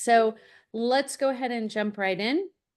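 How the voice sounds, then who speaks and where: A fairly slow-paced woman's voice, an ordinary speaking voice with ordinary pitch variation. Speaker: college admissions consultant, webinar host. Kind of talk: webinar presentation. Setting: online webinar.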